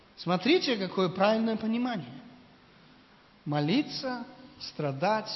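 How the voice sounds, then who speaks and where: Lively in intonation and high in pitch, a man is heard with audible room echo and noticeable background noise. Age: 50s. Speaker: visiting preacher. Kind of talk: sermon.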